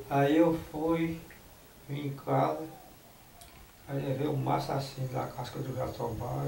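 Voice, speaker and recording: A man speaks at a medium pitch, his voice swinging very widely up and down. Noticeable background noise runs underneath. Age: 80s+. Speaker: herbal root healer. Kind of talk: interview answer.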